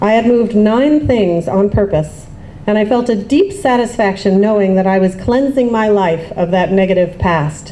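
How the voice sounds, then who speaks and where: Over noticeable background noise, a speaker with an American accent talks at a moderate pace. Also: woman, medium pitch for a woman, ordinary pitch variation, very even loudness. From US, Baltimore, Maryland. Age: 40s. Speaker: writer. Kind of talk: reading aloud.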